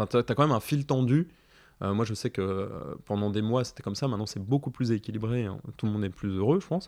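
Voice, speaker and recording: Against a quiet background, a man talks at a very fast pace and medium pitch, with ordinary pitch variation. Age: 40s. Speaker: father and artist. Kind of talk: casual chat. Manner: halting, many fillers and repetitions.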